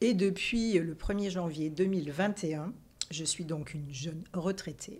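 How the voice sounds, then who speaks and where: A woman with a fairly low pitch talks at a fairly slow pace, showing ordinary pitch variation. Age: 60s. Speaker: retired nurse and health journalist. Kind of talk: interview. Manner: hesitant, many fillers.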